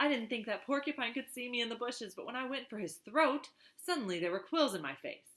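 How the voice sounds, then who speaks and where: A female-sounding voice puts on a gruff character voice with a high pitch, delivered at a very fast pace. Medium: read story.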